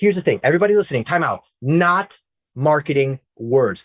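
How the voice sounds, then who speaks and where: A man sounds animated and somewhat breathy in a dry, close recording with no echo. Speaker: tech journalist hosting webinar. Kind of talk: webinar interview. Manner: fast.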